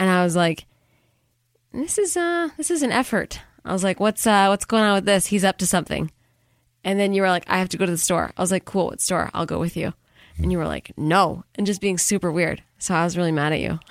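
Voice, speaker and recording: With an ordinary speaking voice and ordinary pitch variation, a woman talks at a fairly quick pace in a very clean, dry, close recording with a silent background and no echo. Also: medium pitch for a woman. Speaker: podcast host. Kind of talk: casual chat.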